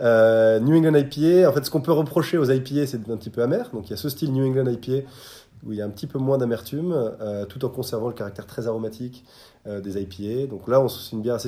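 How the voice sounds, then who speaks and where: A man's dark, mellow voice at medium pitch, very fast pace and ordinary pitch variation, on a very clean recording with a silent background. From France, Bordeaux. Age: 30s. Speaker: restaurant co-founder. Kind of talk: interview.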